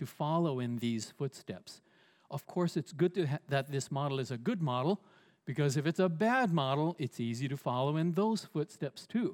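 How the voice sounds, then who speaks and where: In a very clean recording with a silent background, a man with an unremarkable speaking voice and a fairly high pitch uses lively intonation in a dry, close sound with no echo. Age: 60s. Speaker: pastor. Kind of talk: sermon.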